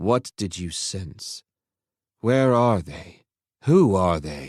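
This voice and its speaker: A man's put-on character voice, fairly low-pitched, at a very slow pace with lively intonation and big swings in loudness, in a dry, close sound with no echo on a very clean recording with a silent background. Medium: read story. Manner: impatient, intense.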